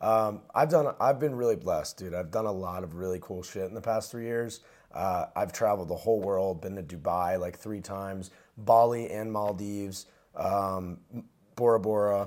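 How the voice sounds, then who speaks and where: This man has an ordinary speaking voice, fairly low in pitch with ordinary pitch variation and big swings in loudness, talking at a moderate pace in a very clean recording against a silent background. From New Jersey. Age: 20s. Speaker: entrepreneur. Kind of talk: casual chat.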